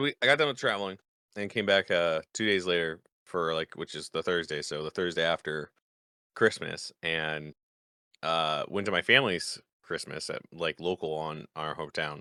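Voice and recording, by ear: In a put-on character voice, a man talks at a moderate pace, raspy and hoarse, with a very deep, low pitch and ordinary pitch variation.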